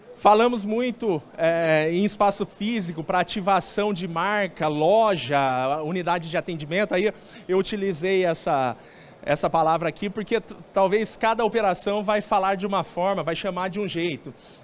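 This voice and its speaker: High-pitched and animated, a man speaks. He has a Brazilian countryside accent. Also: ordinary pitch variation, moderate pace. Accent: noticeable Brazilian countryside. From Brazilian interior. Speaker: sales speaker at telecom event. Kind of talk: conference talk. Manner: conversational, animated.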